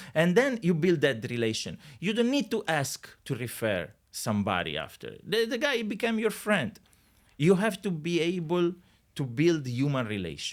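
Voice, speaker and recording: In a very clean recording with a silent background, a man with an Italian accent speaks at a moderate pace and a high pitch, his pitch swinging very widely. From Italy. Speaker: real estate agent. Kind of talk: podcast interview. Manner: hesitant, many fillers.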